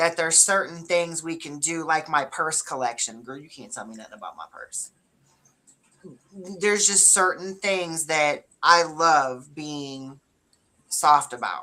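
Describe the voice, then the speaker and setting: A woman's bright, sharp tone shows big swings in loudness and ordinary pitch variation. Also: fairly low pitch for a woman, fairly slow pace. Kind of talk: casual chat.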